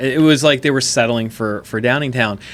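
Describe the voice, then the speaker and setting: Speaking with a normal speaking voice, the man keeps a medium pitch and ordinary pitch variation. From Chester County, Pennsylvania, US. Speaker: podcast host. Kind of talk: casual interview chat.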